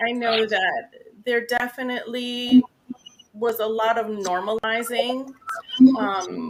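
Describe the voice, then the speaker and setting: This woman's voice sits fairly high in pitch, and she talks at a fairly slow pace. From New York, Spanish-speaking family. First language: Spanish. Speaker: nurse, mental health guest. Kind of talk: interview.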